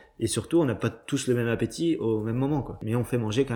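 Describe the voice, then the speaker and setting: This man's voice sits at a medium pitch, with a dark, mellow tone and ordinary pitch variation. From Brittany, Cancale. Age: 30s. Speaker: chef. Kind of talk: interview. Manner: halting.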